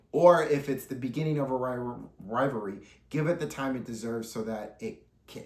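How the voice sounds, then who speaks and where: At a fairly quick pace, a medium-pitched man speaks with ordinary pitch variation and big swings in loudness amid audible room echo. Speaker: wrestling news podcaster. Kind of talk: solo commentary podcast. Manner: animated.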